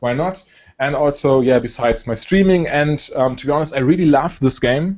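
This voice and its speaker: A man with a German accent, fairly high pitch, ordinary pitch variation and a moderate pace. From Germany. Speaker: esports caster and video creator. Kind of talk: casual interview chat. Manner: hesitant, many fillers.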